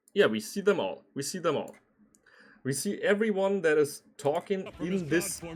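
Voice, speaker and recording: A man with a German accent talks with very wide pitch swings. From Germany. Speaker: streamer reacting to anime dubs. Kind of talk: casual reaction commentary. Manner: hesitant, filler-heavy.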